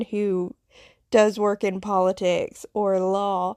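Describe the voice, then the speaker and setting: A very slow woman's voice in a Southern US accent. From US South, Appalachian foothills. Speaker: podcast host, nurse. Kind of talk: personal storytelling monologue. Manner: hesitant with fillers.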